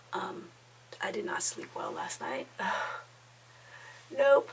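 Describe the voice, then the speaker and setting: A woman talks over noticeable background noise. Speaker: lifestyle vlogger. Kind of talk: casual vlog talk. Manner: casual, hesitant.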